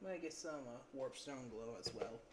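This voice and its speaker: Soft-spoken and calm, with a relaxed tone, the speaker moves at a fairly slow pace over noticeable background noise. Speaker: miniature painting streamer. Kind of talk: live stream painting tutorial. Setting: live stream. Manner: soft-spoken, lowered voice; calm, relaxed.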